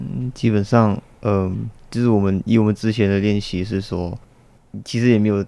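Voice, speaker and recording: Speaking at a moderate pace with long, frequent pauses, a man uses a fairly low pitch, a dark, mellow tone and fairly even intonation. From Malaysia. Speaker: student football club vice-captain. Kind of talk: interview.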